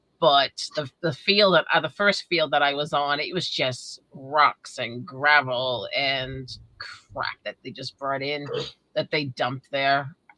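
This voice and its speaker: In a New England accent, a woman speaks very slowly in a very deep, low voice with a bright, sharp tone. Her intonation is fairly even, and the sound is dry and close with no echo. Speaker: metal detecting hobbyist, livestream host. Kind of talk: casual chat. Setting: livestream.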